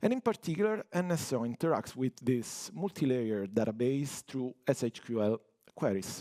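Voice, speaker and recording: Dark, mellow tone with an Italian accent at a moderate pace, in a dry, close sound with no echo. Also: man. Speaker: network automation engineer. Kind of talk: technical conference talk.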